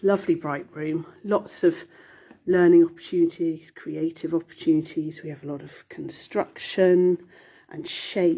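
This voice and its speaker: A woman with a fairly low pitch and a warm, dark, mellow tone speaks with monotone, flat intonation and big swings in loudness. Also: moderate pace. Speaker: nursery manager. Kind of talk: guided video tour. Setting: indoors, walking through a nursery. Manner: warm, chatty.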